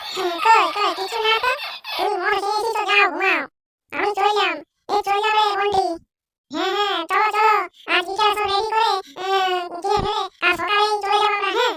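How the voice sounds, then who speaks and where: A woman puts on a cartoonish character voice, squeaky and extremely high in pitch, at a moderate pace with monotone, flat intonation. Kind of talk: rustic comic dialogue. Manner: bold, teasing.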